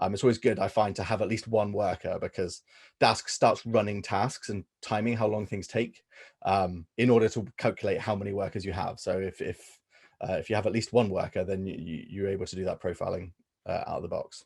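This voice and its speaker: A man speaks with a fairly low pitch and fairly even intonation. His voice is somewhat breathy, and the background is quiet. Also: fairly quick pace. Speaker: workshop presenter. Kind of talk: technical workshop presentation. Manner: hesitant with many fillers.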